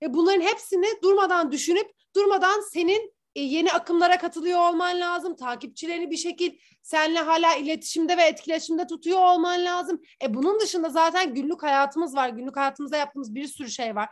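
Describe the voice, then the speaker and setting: The tone is energetic, with ordinary pitch variation. The pace is fairly quick. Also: woman, extremely high pitch for a woman. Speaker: influencer and former brand manager. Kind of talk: casual chat.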